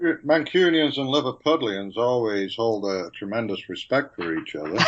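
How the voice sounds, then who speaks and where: Noticeable background noise sits under the recording. A man speaks with very wide pitch swings. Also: medium pitch for a man, moderate pace. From Manchester, northern England. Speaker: engineer and author. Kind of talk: interview. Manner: halting.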